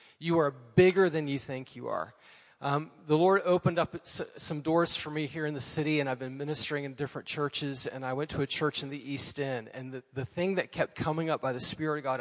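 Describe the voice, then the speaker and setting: A man talks at a moderate pace, his fairly high pitch varying in an ordinary way, with noticeable background noise behind him. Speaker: former associate pastor. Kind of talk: testimony. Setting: church.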